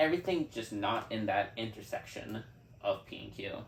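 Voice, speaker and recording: A man's somewhat breathy voice at a medium pitch. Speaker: math teacher or tutor. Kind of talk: tutorial. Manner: halting.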